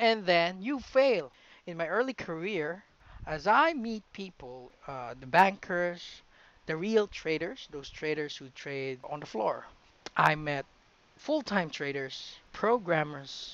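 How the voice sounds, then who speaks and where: In an American accent, a man speaks high-pitched and very slowly, with very wide pitch swings and big swings in loudness. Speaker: trading educator. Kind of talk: tutorial.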